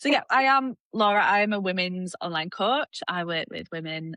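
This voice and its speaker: Against a quiet background with a dry, close sound and no echo, a woman speaks at a fairly slow pace in a bright, sharp tone with lively intonation. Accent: Yorkshire. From Yorkshire, northern England. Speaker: fitness coach. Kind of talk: casual chat.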